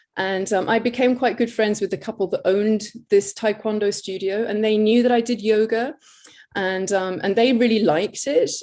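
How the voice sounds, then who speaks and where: With a dark, mellow tone and a fairly high pitch, a woman speaks at a moderate pace with fairly even intonation. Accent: English. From England. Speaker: yoga teacher. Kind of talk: interview.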